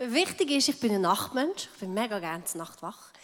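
Her voice is an unremarkable speaking voice, fairly high in pitch, as this woman talks at a moderate pace with lively intonation. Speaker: pastor's wife. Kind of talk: testimony.

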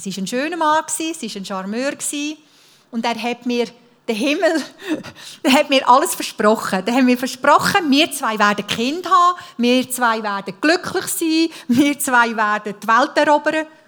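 A woman's high voice with lively intonation. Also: moderate pace. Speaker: speaker sharing life testimony. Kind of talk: testimony.

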